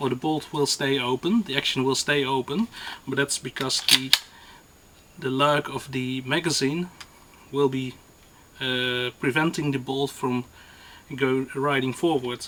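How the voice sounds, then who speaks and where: The speech comes at a fairly slow pace with fairly even intonation and long, frequent pauses, over noticeable background noise. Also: man, medium pitch for a man. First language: not English. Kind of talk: gun review to camera. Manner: hesitant, many fillers.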